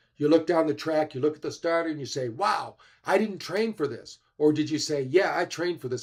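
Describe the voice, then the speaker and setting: Using a plain, everyday voice, a man speaks at a fairly quick pace with ordinary pitch variation. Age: 60s. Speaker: wellness and biohacking speaker. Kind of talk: livestream health talk.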